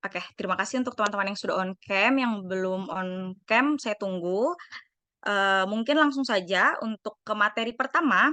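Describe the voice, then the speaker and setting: Over a quiet background, a woman speaks at medium pitch in a bright, sharp tone. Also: lively intonation, moderate pace. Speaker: psychology student, training moderator. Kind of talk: online training moderation. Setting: video call. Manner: hesitant, many fillers.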